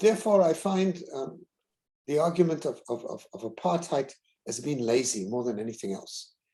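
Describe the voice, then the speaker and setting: A man with a South African accent speaks at a moderate pace in a fairly high, dark and mellow voice that makes very wide pitch swings. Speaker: university president. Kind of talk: keynote Q&A answer. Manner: halting, many fillers.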